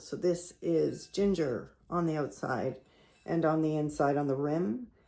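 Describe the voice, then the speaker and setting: Quietly and at fairly low pitch, a woman speaks with a Canadian accent. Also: very clean recording, silent background. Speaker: potter. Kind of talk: casual show-and-tell tutorial. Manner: quiet, talking low; casual, halting with fillers.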